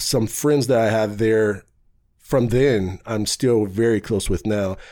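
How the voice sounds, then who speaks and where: With an American accent, a man speaks at medium pitch in a dark, mellow tone. His pace is fairly slow. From Warren, Ohio, US Midwest. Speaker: youth mentoring nonprofit founder. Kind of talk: interview. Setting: studio.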